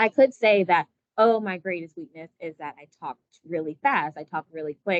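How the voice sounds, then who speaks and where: The woman's pitch sits fairly low and varies in an ordinary way. Her sound is dry and close, with no echo. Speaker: company recruiter. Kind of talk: workshop presentation. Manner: fast.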